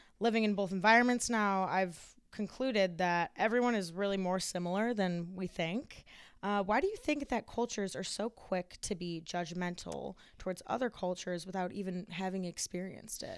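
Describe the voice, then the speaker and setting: A woman's ordinary speaking voice, medium in pitch, with an American accent, ordinary pitch variation and a moderate pace, on a very clean recording with a silent background. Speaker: student podcast host. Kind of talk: interview.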